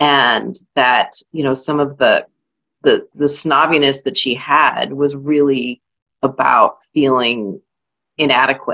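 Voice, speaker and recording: A very slow delivery with fairly even intonation, a bright, sharp tone and a slight Southern US accent. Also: woman, very deep, low pitch for a woman. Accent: slight Southern drawl. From California, US. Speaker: author. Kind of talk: panel discussion. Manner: hesitant, many fillers.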